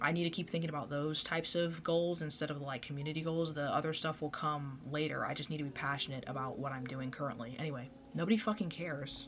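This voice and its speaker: Noticeable background noise sits behind a woman speaking very fast in a very deep, low pitch. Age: young. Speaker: vlogger. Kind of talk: casual chat.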